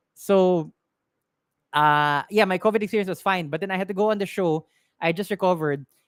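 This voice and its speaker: The speaker has a Filipino accent and a fairly quick pace, broken by long, frequent pauses. The recording is very clean with a silent background. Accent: Filipino English, Taglish code-switching. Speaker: tech shop owner and live-stream tech advice host. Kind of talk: live-stream Q&A, casual chat. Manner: casual, with frequent fillers and restarts.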